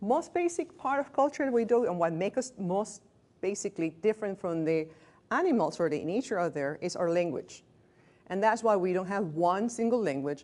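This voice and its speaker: A woman speaks with a non-native accent. Her pitch is medium, with very wide swings. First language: not English. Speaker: hospice staff trainer. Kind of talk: lecture. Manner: conversational.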